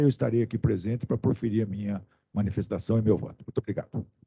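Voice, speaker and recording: A man speaks fairly quickly in a dark, mellow tone that is somewhat breathy. The sound is dry and close with no echo. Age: 60s. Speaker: senior prosecutor, council member. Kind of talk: formal meeting. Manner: formal.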